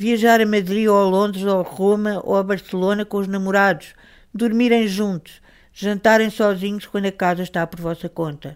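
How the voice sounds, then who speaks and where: On a very clean recording with a silent background, a woman with a Lisbon accent speaks at a medium pitch and a moderate pace. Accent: European Portuguese (Lisbon). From Portugal, Lisbon. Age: 70s. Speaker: writer and journalist. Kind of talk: interview. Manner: hesitant, with repetitions.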